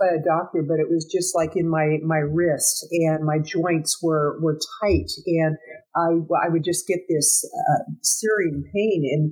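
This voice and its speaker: A woman with a normal speaking voice, at a fairly slow pace. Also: very even loudness. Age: 60s. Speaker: business consultant and marketing strategist. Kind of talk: casual interview chat.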